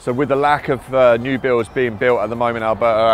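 Music plays behind a man speaking at a fairly quick pace. His intonation is monotone and flat, and the sound is dry with no echo. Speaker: real estate agent host. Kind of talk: promotional neighborhood tour presentation. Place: street. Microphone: lapel.

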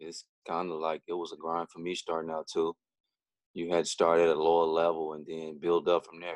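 A man's very deep, low voice with a Southern US accent, monotone and flat, at a fairly quick pace with big swings in loudness, dry with no echo over a quiet background. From Louisiana. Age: 40s. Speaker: podcast co-host, former pro basketball player; podcast co-host. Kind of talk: casual chat. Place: home room. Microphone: video call.

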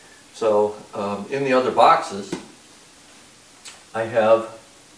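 Audible room echo and light background noise surround a man speaking very slowly in a fairly low pitch with fairly even intonation. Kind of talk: casual explanatory vlog talk.

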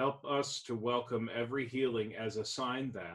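A man at a fairly slow pace, fairly even intonation, and a quiet background. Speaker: pastor leading service. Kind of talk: liturgical reading and prayer.

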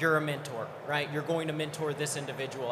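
Fairly quick speech from a man with a fairly high pitch, over noticeable background noise. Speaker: panel moderator, software services executive. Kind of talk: conference panel discussion. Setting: stage with audience.

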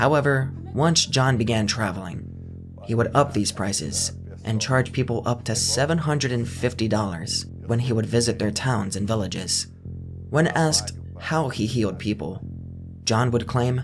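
Music plays in the background as a man speaks at a fairly slow pace with lively intonation. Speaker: documentary narrator. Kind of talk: commentary.

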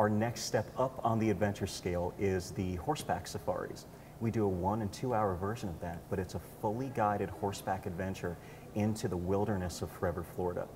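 A man's ordinary speaking voice, fairly low in pitch, at a fairly quick pace with fairly even intonation over light background noise. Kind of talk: interview answer. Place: hall. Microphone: lapel.

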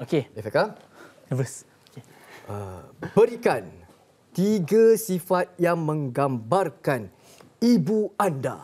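Very slow speech with long, frequent pauses, very wide pitch swings and big swings in loudness. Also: man. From Malaysia. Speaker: TV host; talk show host. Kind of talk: game segment on talk show. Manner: animated. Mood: light, playful. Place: studio.

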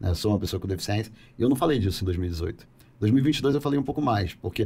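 A man's somewhat breathy voice moves at a fairly quick pace with lively intonation. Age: 40s. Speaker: politician. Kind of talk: podcast interview. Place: studio. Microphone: studio mic.

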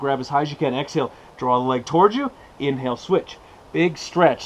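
The speaker here is a man. He talks at a fairly quick pace. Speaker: fitness instructor. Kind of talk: exercise class instruction. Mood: playful, joking. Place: open country. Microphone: camera far.

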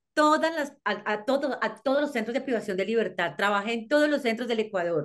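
Over a quiet background, a woman's fairly high voice carries lively intonation. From Colombia. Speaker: criminologist and psychologist. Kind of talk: interview. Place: home room. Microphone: video call.

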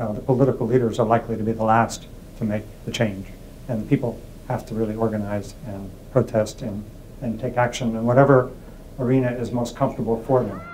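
A man talks at a fairly quick pace in a medium pitch with monotone, flat intonation. Light background noise is audible. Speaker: peace studies academic. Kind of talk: interview answer. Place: home room. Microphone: lapel.

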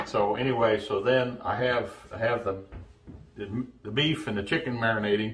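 A somewhat breathy man speaks at a moderate pace with ordinary pitch variation. Light background noise is present. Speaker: home cooking show host. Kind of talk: tutorial. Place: kitchen.

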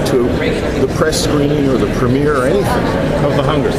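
Over crowd noise in the background, a man talks with ordinary pitch variation. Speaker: interviewee. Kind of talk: interview answer. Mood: relaxed, reflective, amused. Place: hall.

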